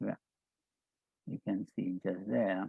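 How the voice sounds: A man talks at a slow pace, low in pitch, with little pitch movement, a slightly husky edge and vocal fry. The sound is dry and close, with no echo.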